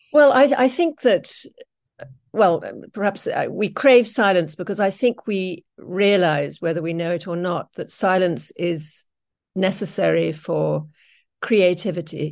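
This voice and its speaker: Against a quiet background, a woman with vocal fry and a medium pitch talks at a fairly slow pace with lively intonation. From England. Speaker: author and bookshop founder. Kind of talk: interview.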